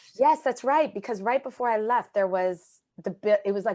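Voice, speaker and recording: A woman's medium-pitched voice at a fairly quick pace, with a strong Canadian accent, lively intonation and a quiet background. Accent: Canadian, still strong. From Canada. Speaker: charity managing director. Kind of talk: podcast interview.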